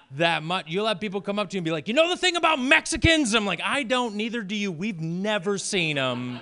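A man's high-pitched, raised and projected voice, fairly quick with hardly any pauses and very wide pitch swings, over noticeable background noise. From Maine, rural farm. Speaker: stand-up comedian. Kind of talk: stand-up.

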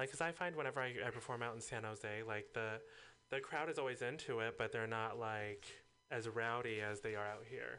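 Here a man speaks with a bright, sharp tone. His pace is fairly quick. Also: medium pitch for a man, ordinary pitch variation. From San Francisco. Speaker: drag performer. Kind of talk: casual chat. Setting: studio.

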